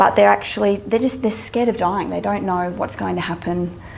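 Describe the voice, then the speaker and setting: An Australian-accented woman's voice. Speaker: mental health social worker and psychologist. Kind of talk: public talk. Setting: stage with audience. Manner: halting, many fillers and repetitions.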